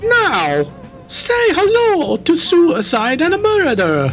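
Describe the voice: A put-on character voice moves at a very slow pace. Clear background noise sits behind it.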